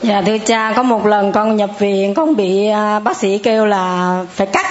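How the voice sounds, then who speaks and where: Amid noticeable background noise and audible room echo, a woman speaks at a fairly high pitch and fairly slow pace with fairly even intonation. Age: 60s. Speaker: churchgoer giving testimony. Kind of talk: testimony.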